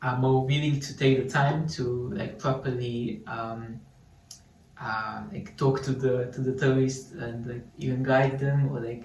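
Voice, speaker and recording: A man with a Slovene accent, a medium pitch, fairly even intonation and a fairly slow pace. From Slovenia. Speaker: student sharing local life. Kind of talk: casual chat.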